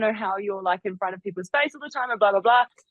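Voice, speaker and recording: A woman's animated tone. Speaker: reality TV yacht crew member.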